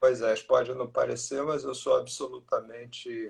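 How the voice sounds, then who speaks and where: A man speaking at a fairly slow pace. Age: 60s. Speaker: breast milk bank expert. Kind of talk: interview. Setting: video call.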